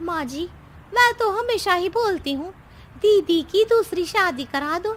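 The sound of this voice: Using a put-on character voice, a woman speaks at a fairly slow pace with an extremely high pitch, a fairly bright tone and lively intonation.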